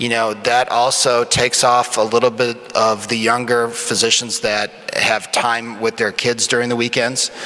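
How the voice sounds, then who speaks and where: Noticeable background noise surrounds a man who talks fairly slowly at a medium pitch. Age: 50s. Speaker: emergency physician. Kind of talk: panel discussion. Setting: stage with audience.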